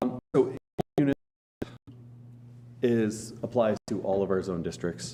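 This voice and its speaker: A man speaks loudly at a moderate pace, his tone dark and mellow with vocal fry. His pitch swings very widely. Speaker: county planning staff member. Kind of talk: public meeting presentation. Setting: county commissioners meeting room.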